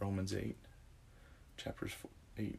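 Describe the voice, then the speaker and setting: With an American accent, a man speaks at a fairly low pitch, his voice showing vocal fry. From US South, Louisiana (Baton Rouge area). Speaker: religious convert sharing his story. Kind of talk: interview testimony.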